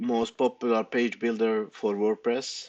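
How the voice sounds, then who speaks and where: Against a quiet background, a man with a non-native accent speaks fairly slowly. His medium-pitched voice is monotone and flat. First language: not English. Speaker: web developer. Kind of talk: tutorial. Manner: halting, many fillers.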